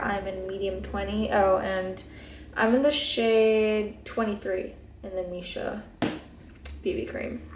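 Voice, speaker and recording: Very slow speech from a woman amid audible room echo. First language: Hebrew. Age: 20s. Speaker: beauty vlogger. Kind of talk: casual chat. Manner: relaxed, laid back.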